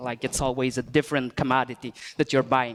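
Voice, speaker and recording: The sound is dry and close, with no echo, in a very clean recording over a silent background. The speaker has a Quebec accent. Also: man. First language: French. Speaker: software engineer. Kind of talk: tech talk presentation. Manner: hesitant, many fillers.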